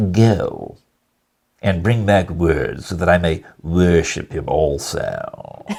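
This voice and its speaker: A man uses a put-on character voice, very deep, low and nasal. He speaks at a very slow pace with fairly even intonation. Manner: oily, disgusting.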